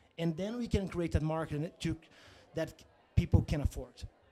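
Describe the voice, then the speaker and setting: A man with a high pitch and a dark, mellow tone speaks with a Portuguese accent and ordinary pitch variation. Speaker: company founder and CEO. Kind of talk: interview. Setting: media zone at a conference. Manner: halting.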